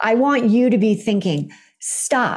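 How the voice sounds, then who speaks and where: A woman talks at a very slow pace while music plays in the background. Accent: Californian. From California. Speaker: author and coach. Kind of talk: interview.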